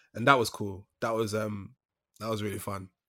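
A man's bright, sharp voice at medium pitch, on a very clean recording with a silent background. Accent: London. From East London. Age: young. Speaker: actor. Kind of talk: casual chat.

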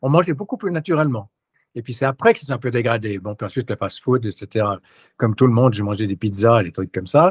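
A man's medium-pitched, somewhat breathy voice with lively intonation at a fairly quick pace, dry and close with no echo. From Switzerland. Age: 70s. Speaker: retired business owner and fitness content creator. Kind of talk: interview.

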